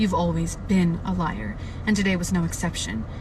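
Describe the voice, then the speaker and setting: A woman, with noticeable background noise. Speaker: book reader livestreamer. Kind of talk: reading aloud. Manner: halting.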